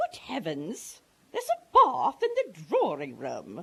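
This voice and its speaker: Using a put-on character voice, a woman talks at a fairly slow pace. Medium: stage play. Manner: posh, indignant.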